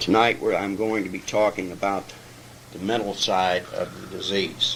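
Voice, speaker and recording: A man talks at a fairly low pitch and moderate pace with monotone, flat intonation over noticeable background noise. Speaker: AA step study speaker, recovering alcoholic. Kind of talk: lecture.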